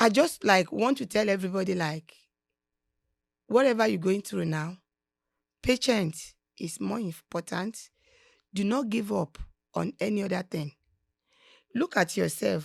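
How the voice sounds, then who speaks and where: With a Nigerian accent and vocal fry, a woman at medium pitch speaks at a fairly slow pace with lively intonation and long, frequent pauses, the sound dry and close with no echo. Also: very clean recording, silent background. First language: Nigerian language (not English). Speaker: podcast guest, host's mother. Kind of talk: casual interview, motivational advice.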